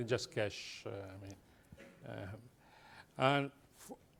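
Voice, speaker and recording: A man's medium-pitched voice with an Italian accent, vocal fry and lively intonation, a very slow pace and big swings in loudness. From Italy. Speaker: business executive. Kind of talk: panel discussion. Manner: halting.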